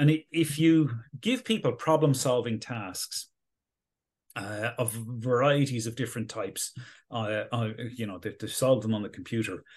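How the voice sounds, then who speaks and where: A man with an Irish accent sounds somewhat breathy at a medium pitch with ordinary pitch variation. He keeps a moderate pace against a quiet background. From Galway, west of Ireland. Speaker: neuroscience professor. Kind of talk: interview. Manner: hesitant, many fillers.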